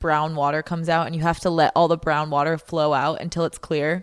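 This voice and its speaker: In a very clean recording with a silent background, a woman with an unremarkable speaking voice talks at a fairly low pitch. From Canada. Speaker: podcast host. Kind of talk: casual chat.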